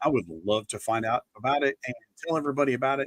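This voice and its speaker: Speaking very fast in an American accent, the voice has ordinary pitch variation and a dry, close sound with no echo. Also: man. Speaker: local music show host. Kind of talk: casual live-stream talk.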